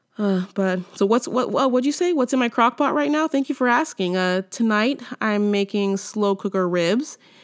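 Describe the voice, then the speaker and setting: Recorded very cleanly with a silent background, a woman with an American accent and medium pitch talks at a moderate pace. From California. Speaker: podcast host. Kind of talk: comedic monologue.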